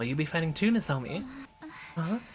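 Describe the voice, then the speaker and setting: A woman's very deep, low voice at a very fast pace, with lively intonation over noticeable background noise. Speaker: video game streamer. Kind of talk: reading game text aloud.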